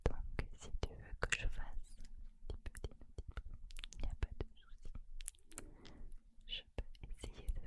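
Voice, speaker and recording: A woman whispers, soft-spoken, at a very slow pace. The sound is dry with no echo, yet loud background noise is present. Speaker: ASMR creator. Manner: soft close-mic ASMR whisper. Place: home room. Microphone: studio mic.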